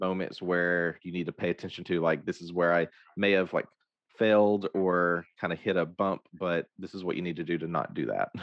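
A man speaks at a moderate pace with a very deep, low pitch. His intonation stays fairly even. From Arkansas (Hope). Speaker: podcast host. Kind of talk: interview conversation.

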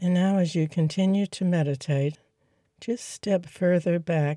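In a very clean recording with a silent background, the voice moves at a fairly slow pace. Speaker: meditation guide. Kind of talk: guided meditation. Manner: slow, calm, soothing, with long pauses; gentle, instructive.

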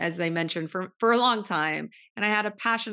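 A woman with an American accent speaks at a fairly quick pace in a bright, sharp tone with vocal fry. Her pitch variation is ordinary, and the background is quiet. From California, Central Valley (Modesto). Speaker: podcast host and supplement entrepreneur. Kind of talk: interview.

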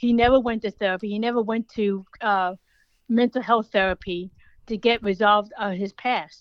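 A woman's fairly high-pitched voice in an American accent, a plain, everyday voice with fairly even intonation and a dry, close sound with no echo. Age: 40s. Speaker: author, pet sitter and dog trainer. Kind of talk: interview. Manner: fast, run-on.

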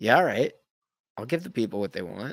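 In an Ontario accent, a man speaks on a very clean recording with a silent background. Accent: Canadian (Ontario). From Canada, Thornhill near Toronto. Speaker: actor and trivia host. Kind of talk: casual interview chat.

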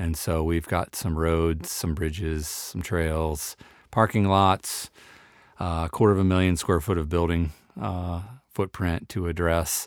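Very deep, low male voice with a Midwestern US accent and fairly even intonation, in a very clean recording over a silent background. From northeast Ohio. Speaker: parks executive director. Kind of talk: interview.

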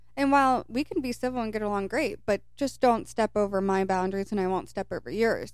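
A woman's plain, everyday voice in an American accent, fairly high in pitch with ordinary variation, at a fairly quick pace. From Kentucky, US. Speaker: podcast co-host. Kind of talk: casual chat.

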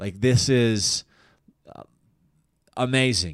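Using a normal speaking voice with a General American accent, a man at medium pitch talks with lively intonation on a very clean recording with a silent background. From Colorado, Denver area. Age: 30s. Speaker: comedian. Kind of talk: casual chat.

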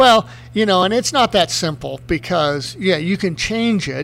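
A man talks at a moderate pace in an ordinary speaking voice. His pitch varies in an ordinary way. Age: 50s. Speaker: retired motocross racer. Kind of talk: casual chat.

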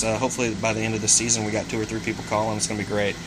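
A man with an American accent and a fairly low pitch talks at a very fast pace, with audible room echo and noticeable background noise. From Missouri. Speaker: duck hunting podcast co-host. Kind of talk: casual chat.

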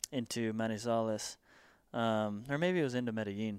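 With a Southern California accent, a man speaks at a moderate pace. His pitch sits in the medium range. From US West Coast. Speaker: mountain bike media and industry worker. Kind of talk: casual interview.

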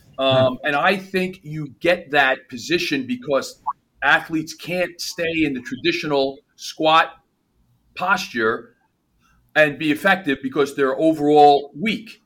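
The voice carries a New Jersey accent and a bright, sharp tone. It moves at a fairly slow pace with ordinary pitch variation. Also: man, fairly high pitch for a man. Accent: New Jersey American. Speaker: performance coach. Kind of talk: casual chat.

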